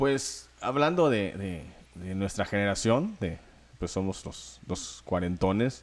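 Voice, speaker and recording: A man talks at a very slow pace. His intonation is lively. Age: 40s. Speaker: podcast co-host. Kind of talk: casual chat.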